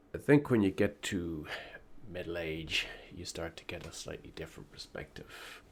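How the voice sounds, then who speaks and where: A man with an Irish accent speaks in a very deep, low voice with ordinary pitch variation and big swings in loudness. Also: moderate pace. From Ireland. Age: middle-aged. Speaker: political commentator. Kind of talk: opinion monologue.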